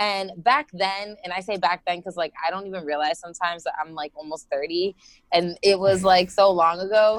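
A woman in an American accent, an ordinary speaking voice at medium pitch, moderate pace, fairly even intonation and big swings in loudness. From Florida. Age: 20s. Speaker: life and business coach. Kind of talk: casual interview. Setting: video call.

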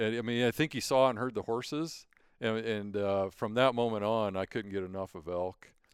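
Pitched at a medium level for a man, an ordinary speaking voice moves at a moderate pace with ordinary pitch variation. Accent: American. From Montana, US. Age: 50s. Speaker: wildlife artist and sheep hunter. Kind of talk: casual interview, storytelling. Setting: at his home, wearing headsets.

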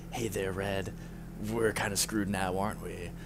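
Someone speaks in a gruff, put-on character voice. Loud background noise fills the recording. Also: man, fairly low pitch for a man, moderate pace. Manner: resigned, wry.

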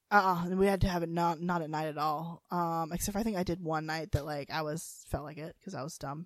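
At a very fast pace, a woman with an American accent speaks in a fairly low pitch and fairly even intonation. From North Carolina. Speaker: podcast co-host. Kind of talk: casual chat.

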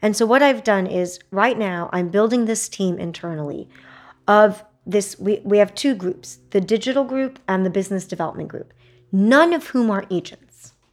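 A woman with an American accent has an unremarkable speaking voice at a medium pitch. She talks at a moderate pace with lively intonation. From Texas. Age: 40s. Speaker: entrepreneur. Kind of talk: casual interview.

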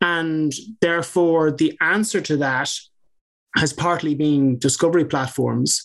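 With an Irish accent, a man speaks at a fairly slow pace and a fairly high pitch, his intonation fairly even and his loudness very even. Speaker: barrister and legal tech founder. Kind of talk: interview.

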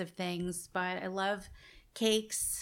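The intonation is monotone and flat, in a very clean recording with a silent background. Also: woman. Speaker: bakery owner. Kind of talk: interview. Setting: campus event.

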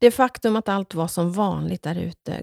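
A woman talks at a fairly slow pace. The recording is very clean and the background silent. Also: dry, close sound with no echo. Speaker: podcast host and author. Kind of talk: casual monologue; reading aloud from own book.

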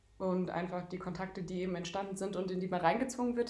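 Over noticeable background noise and audible room echo, a woman speaks very fast at a medium pitch with ordinary pitch variation. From Darmstadt, Hesse, Germany. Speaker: handball goalkeeper and student. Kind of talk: casual interview.

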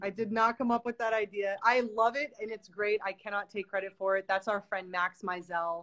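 Delivered at a moderate pace with hardly any pauses, a normal speaking voice holds a fairly even intonation. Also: woman, medium pitch for a woman. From New York. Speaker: film director and producer. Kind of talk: casual chat interview.

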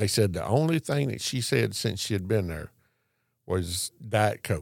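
A man with a Southern US accent talks at a fairly low pitch with lively intonation. The recording is very clean with a silent background. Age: 60s. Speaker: Santa Claus performer. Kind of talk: casual interview. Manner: jovial.

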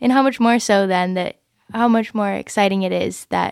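Woman with a Midwestern American accent in a dry, close sound with no echo, on a very clean recording with a silent background. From Michigan. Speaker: college student. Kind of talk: casual chat.

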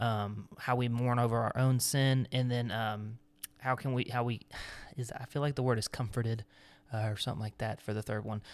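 On a very clean recording with a silent background, a man with a plain, everyday voice speaks at a moderate pace and medium pitch, with fairly even intonation. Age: 20s. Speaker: podcast co-host. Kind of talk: casual chat with devotional segment.

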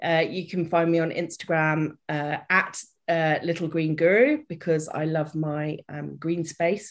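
A woman with a British accent speaks at a very slow pace and a fairly low pitch. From Britain. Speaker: development worker and life coach. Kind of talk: casual interview chat. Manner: chipper, bubbly.

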